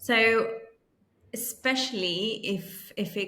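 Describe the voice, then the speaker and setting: Noticeable background noise sits under the speech. The speaker uses lively intonation with an Italian accent. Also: woman. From Italy, Milan. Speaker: career coach. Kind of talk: podcast interview.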